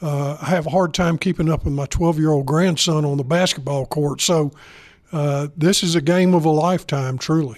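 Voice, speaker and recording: A man talks in a Southern US accent at a fairly high pitch. His intonation stays fairly even. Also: moderate pace. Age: 70s. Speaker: retired bank executive. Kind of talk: interview. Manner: halting, many fillers.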